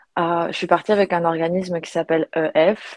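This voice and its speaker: A woman talks fairly slowly in a fairly low voice with fairly even intonation. The sound is dry and close, with no echo. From Belgium. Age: 20s. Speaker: yoga retreat organizer. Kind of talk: casual interview. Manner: halting, with repetitions.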